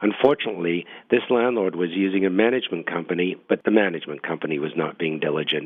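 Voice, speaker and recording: A man speaks at a very fast pace in a very deep, low pitch. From northern England. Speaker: property management radio commentator. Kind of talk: radio commentary segment. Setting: radio show.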